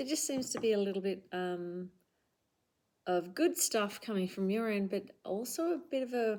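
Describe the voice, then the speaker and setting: A dark, mellow tone with lively intonation in an Australian accent, at a moderate pace with long, frequent pauses. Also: woman, medium pitch for a woman. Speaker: tarot reader. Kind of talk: tarot reading monologue. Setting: home recording with camera. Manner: casual, many fillers.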